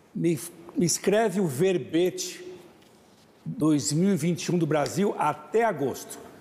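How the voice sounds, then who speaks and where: A man talks very slowly at a high pitch with ordinary pitch variation and long, frequent pauses. His loudness stays very even over noticeable background noise. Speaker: international affairs commentator. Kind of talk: talk show discussion.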